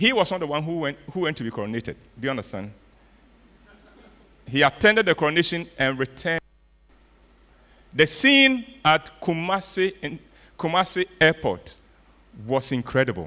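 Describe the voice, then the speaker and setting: A man at a fairly high pitch with very wide pitch swings, a bright, sharp tone, a moderate pace and long, frequent pauses. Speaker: storyteller and arts speaker. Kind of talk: keynote speech. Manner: animated.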